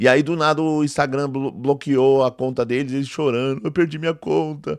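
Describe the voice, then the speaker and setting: Quiet background, moderate pace. A man talks at a fairly high pitch with fairly even intonation. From Brazil, São Paulo East Zone periphery. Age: 40s. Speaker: theology professor and preacher. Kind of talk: indignant video monologue. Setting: live video. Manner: emphatic, repetitive; intense speaking style, same as teaching and preaching.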